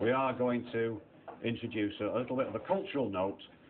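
At a moderate pace, the man speaks while noticeable background noise carries on. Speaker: comedian compere. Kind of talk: stand-up comedy. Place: stage. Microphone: handheld.

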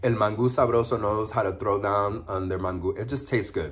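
This man talks at a fairly quick pace in a fairly low pitch, with an animated tone and a somewhat breathy quality. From New York City (Harlem), Puerto Rican family; New York City. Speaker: food vlogger. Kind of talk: mukbang video, casual talk while eating. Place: home room. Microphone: phone near.

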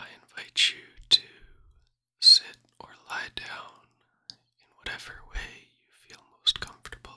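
Whispering at a fairly slow pace, a man's voice shows big swings in loudness. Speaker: meditation guide. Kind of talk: guided meditation. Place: home room. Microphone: studio mic.

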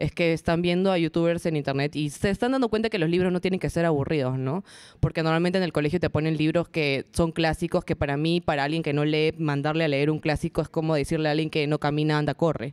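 A woman speaks at a very fast pace with hardly any pauses and a very deep, low pitch. Her intonation is fairly even, and her loudness stays very even. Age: 20s. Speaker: booktuber and TV presenter. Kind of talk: interview before a live audience. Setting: event space with live audience.

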